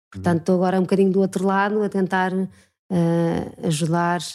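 A woman with a dark, mellow tone speaks fairly quickly at a fairly low pitch, keeping her intonation fairly even. The recording is very clean, with a silent background. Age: 40s. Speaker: former journalist, church communications. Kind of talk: interview.

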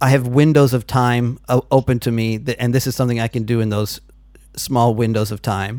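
This man has an unremarkable speaking voice with an American accent and a medium pitch. He keeps a moderate pace and fairly even intonation. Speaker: podcast host. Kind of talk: casual phone interview.

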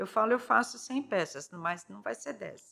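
A woman's bright, sharp tone at a fairly high pitch, with vocal fry, very wide pitch swings and a moderate pace. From São Paulo city, Brazil. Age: 50s. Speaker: ceramicist. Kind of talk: interview.

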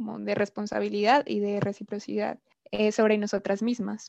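A woman speaks at a moderate pace. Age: 20s. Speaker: anthropology student. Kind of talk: casual podcast discussion. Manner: hesitant, with fillers.

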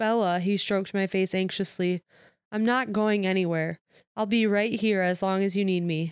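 Heard against a quiet background, a natural reading voice keeps fairly even intonation.

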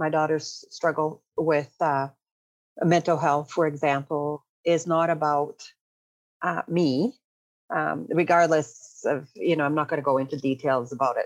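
A woman talks at a very deep, low pitch. Her pace is fairly slow and her intonation fairly even. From Canada and Brazil. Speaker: energy healer and workshop facilitator. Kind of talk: casual interview chat. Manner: halting, with many fillers.

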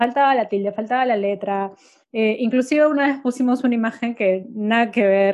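In an unremarkable speaking voice, a woman talks at a moderate pace with fairly high pitch and very even loudness. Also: fairly even intonation. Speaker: marketing agency owner. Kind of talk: casual chat. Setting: home office.

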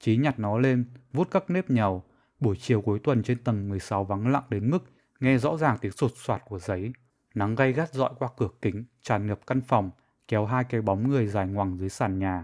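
An ordinary speaking voice comes at a moderate pace with ordinary pitch variation, in a very clean recording with a silent background and a dry, close sound with no echo. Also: man, medium pitch for a man. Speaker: author reading own short story. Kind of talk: reading aloud.

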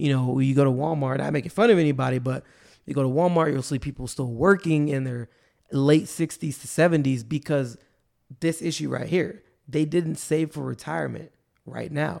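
The recording is very clean, with a silent background. It features an ordinary speaking voice with ordinary pitch variation. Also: man, fairly high pitch for a man, moderate pace. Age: 20s. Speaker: personal finance podcast host. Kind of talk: solo podcast monologue. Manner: casual with frequent fillers.

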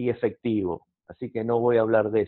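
Here a man talks with an Argentine accent. His pace is moderate. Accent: Argentine Spanish (rioplatense voseo). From Argentina. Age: 50s. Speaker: counselor. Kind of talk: interview.

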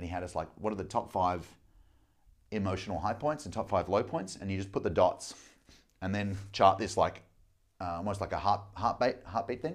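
This man, with an Australian accent, has a fairly low pitch and a moderate pace. The recording is very clean, with a silent background. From Australia, Melbourne. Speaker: business coach. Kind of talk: casual chat.

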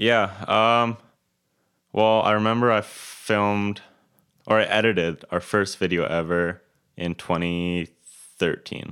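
A relaxed speaker with a Western Canadian accent talks very slowly with long, frequent pauses and fairly even intonation. The recording is very clean, with a silent background. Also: man, fairly low pitch for a man. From Kelowna, British Columbia, Canada. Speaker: videographer and photographer. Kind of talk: casual interview. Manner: relaxed, laid-back.

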